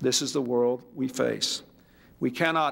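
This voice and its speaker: A man with an American accent and a normal speaking voice speaks in a medium pitch with ordinary pitch variation, on a very clean recording with a silent background. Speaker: US president giving a speech. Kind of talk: formal political speech at a signing ceremony.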